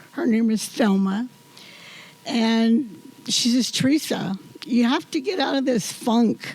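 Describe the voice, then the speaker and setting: A woman with a high pitch and ordinary pitch variation speaks at a fairly slow pace amid noticeable background noise. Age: 80s+. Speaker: community volunteer being honored. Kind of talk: acceptance speech.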